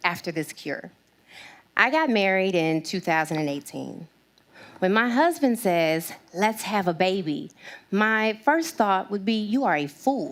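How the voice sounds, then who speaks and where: Her pitch medium and her pace fairly slow, a woman speaks with very wide pitch swings. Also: very clean recording, silent background. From Arkansas. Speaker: diversity and inclusion strategist. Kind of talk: TEDx talk. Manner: passionate.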